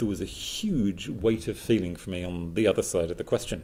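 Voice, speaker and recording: A somewhat breathy, dark, mellow tone at a moderate pace. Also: man. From southeast England. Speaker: writer. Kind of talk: public talk.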